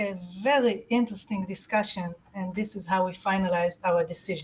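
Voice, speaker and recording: This woman has an Israeli accent. She speaks at a moderate pace. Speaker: awards committee chair. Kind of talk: award announcement. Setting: virtual conference.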